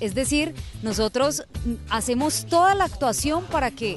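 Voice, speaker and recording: A woman speaks at a fairly slow pace, with faint music in the background and a dry sound with no echo. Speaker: voice actress. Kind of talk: interview answer. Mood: warm, enthusiastic.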